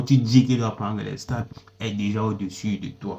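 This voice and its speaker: A man with a non-native accent speaks at a medium pitch in a dark, mellow, somewhat breathy tone, his intonation fairly even. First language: not French (speaking French). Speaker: music commentator. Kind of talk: opinion commentary monologue. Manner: halting, with repetitions and self-corrections.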